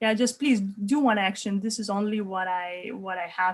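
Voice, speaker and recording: Speaking with a Lithuanian accent, a woman sounds somewhat breathy, going at a fairly slow pace with fairly even intonation. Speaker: life coach. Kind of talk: online workshop. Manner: halting, many repeated words.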